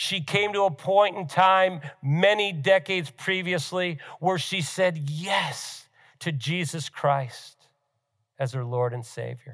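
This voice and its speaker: A man's high-pitched voice at a very slow pace, recorded very cleanly against a silent background. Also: ordinary pitch variation. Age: 60s. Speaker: pastor. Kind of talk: sermon.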